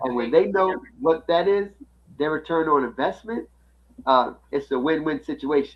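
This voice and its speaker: An unremarkable speaking voice from a man, fairly high in pitch, fairly quick, with ordinary pitch variation. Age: 60s. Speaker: finance podcast co-host. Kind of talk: casual chat.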